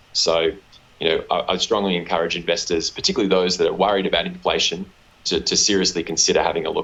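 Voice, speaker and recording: A man at a very fast pace, his loudness very even, with noticeable background noise. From Australia. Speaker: company executive. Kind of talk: interview. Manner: hesitant, many fillers and repeats.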